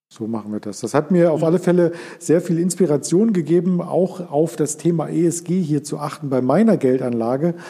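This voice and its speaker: A plain, everyday voice from a man, fairly high in pitch, with ordinary pitch variation and a moderate pace. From Berlin area. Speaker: podcast host. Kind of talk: interview.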